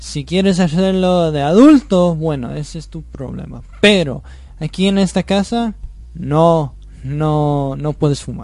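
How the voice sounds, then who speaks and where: The man's pace is very slow. He talks in a non-native accent. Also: big swings in loudness. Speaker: host's son. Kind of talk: radio interview. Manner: halting.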